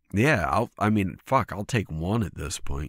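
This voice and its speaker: The recording is very clean, with a silent background. A man talks at a fairly quick pace with vocal fry. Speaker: podcast co-host. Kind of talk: casual chat.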